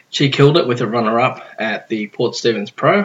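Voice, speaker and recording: A man with an Australian accent talks at medium pitch. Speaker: surf podcast host. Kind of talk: casual chat. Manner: laid-back.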